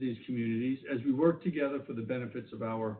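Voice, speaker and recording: A New York accent at a very fast pace. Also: man. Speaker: government official. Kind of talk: keynote speech.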